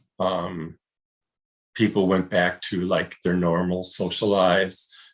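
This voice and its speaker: A man speaks at a very slow pace. His pitch is very deep and low. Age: 60s. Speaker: long-term HIV survivor. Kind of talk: interview. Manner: halting.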